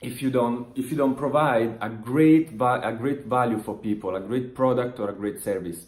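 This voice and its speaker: A man with an Italian accent speaks at a moderate pace and a medium pitch. His pitch varies in an ordinary way, and he hardly pauses at all. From Italy. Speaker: online business motivational vlogger. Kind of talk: motivational talk to camera. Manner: halting, many restarts and fillers.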